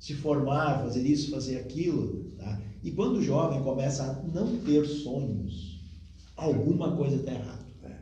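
A man's fairly high voice at a fairly slow pace, with audible room echo and noticeable background noise. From Rio Grande do Sul, southern Brazil. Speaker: spiritist speaker. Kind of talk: interview talk on spiritism.

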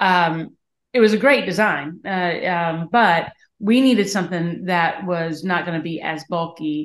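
A woman with a Southern US accent, at a fairly slow pace, with ordinary pitch variation. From Aiken, South Carolina. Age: 50s. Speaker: business co-founder. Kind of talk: interview.

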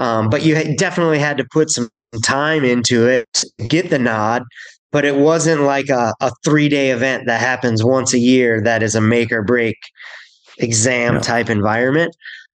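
At a moderate pace and medium pitch, a man with an ordinary speaking voice talks with ordinary pitch variation. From US Upper Midwest (St. Paul, Minnesota). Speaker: snowboard instructor and coach. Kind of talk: casual interview.

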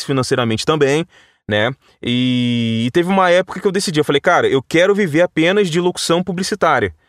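A man speaks at a fairly quick pace with lively intonation, recorded very cleanly against a silent background. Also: very even loudness. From Vassouras, interior of Rio de Janeiro state, Brazil. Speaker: voice-over artist and radio announcer. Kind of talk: casual interview. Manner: conversational, natural delivery; halting, frequent repetitions.

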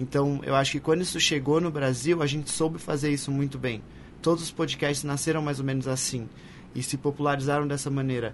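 Audible room echo surrounds a man who speaks at a fairly quick pace with a fairly high pitch and monotone, flat intonation. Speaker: podcaster and advertising professional. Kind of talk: live panel discussion. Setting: stage with audience.

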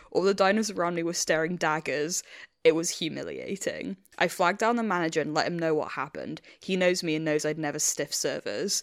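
In a very clean recording with a silent background, a woman with an English accent talks at a very fast pace, her fairly low pitch showing ordinary variation. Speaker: podcast host. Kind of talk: casual chat.

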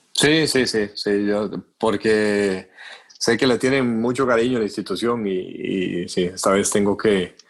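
A man's plain, everyday voice, fairly low-pitched and fairly slow, with very even loudness, fairly even intonation and a very clean recording with a silent background. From Costa Rica. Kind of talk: casual chat.

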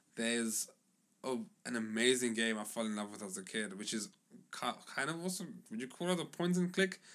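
A man with an animated tone, a fairly quick pace and very wide pitch swings. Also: medium pitch for a man. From South Africa, Johannesburg West Rand and Cape Town. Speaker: podcast co-host. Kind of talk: casual chat.

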